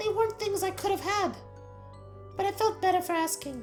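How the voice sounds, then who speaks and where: A put-on, squeaky character voice that sounds female speaks at extremely high pitch and a moderate pace, with clear music playing in the background. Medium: video game. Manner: hesitant, rambling.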